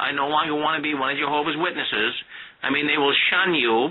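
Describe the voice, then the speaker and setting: Noticeable background noise sits behind a man speaking at a moderate pace with a fairly high pitch. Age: 60s. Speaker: former Jehovah's Witness, anti-sect show host. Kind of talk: radio interview. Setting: internet radio call-in.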